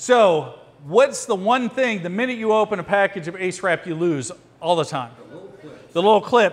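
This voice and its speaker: With ordinary pitch variation, the talking proceeds at a fairly quick pace. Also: man. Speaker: firearms and emergency response instructor. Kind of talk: hands-on training class. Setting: classroom with students. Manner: loud; fast.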